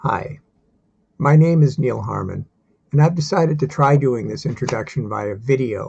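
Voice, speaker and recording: A dark, mellow tone with vocal fry, at a moderate pace. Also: man. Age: 60s. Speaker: divinity student and software engineer. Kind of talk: self-introduction video.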